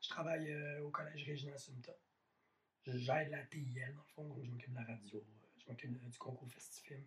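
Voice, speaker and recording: With long, frequent pauses, a man talks at a moderate pace in a fairly high, somewhat breathy voice with fairly even intonation. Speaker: podcast host. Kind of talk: casual chat.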